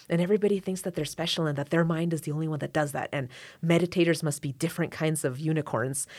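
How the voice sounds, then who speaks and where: A woman speaks very fast with an American accent, her pitch very deep and low and her intonation fairly even. The recording is very clean, with a silent background. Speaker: violinist and court interpreter. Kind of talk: casual interview conversation.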